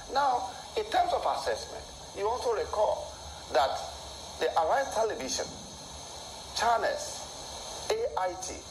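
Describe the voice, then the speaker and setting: Room echo can be heard as a man talks, and noise is noticeable in the background. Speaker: election analyst. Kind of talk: TV interview.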